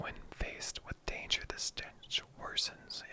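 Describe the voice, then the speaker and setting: A soft-spoken whisper at a very slow pace. Noticeable background noise sits behind it. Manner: soft-spoken, whispering.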